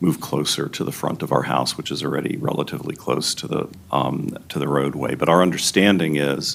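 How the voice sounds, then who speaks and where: There is noticeable background noise behind this man with an American accent. His pitch is very deep and low, and his intonation is fairly even. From Maryland, US (Silver Spring area). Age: 60s. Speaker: local resident giving public testimony. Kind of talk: public hearing testimony. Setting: public planning board hearing. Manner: halting, many fillers.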